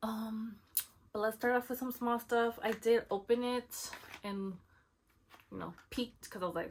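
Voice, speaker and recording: The speaker is a woman with a somewhat breathy voice. Her pitch sits fairly high. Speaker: beauty vlogger. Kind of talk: casual product haul chat.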